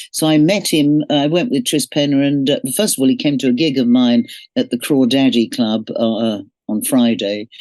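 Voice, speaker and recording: Against a quiet background, a woman with a London accent speaks at a moderate pace in a very deep, dark and mellow voice, with lively intonation and very even loudness. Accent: southern English (London). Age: 70s. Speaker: singer. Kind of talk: interview.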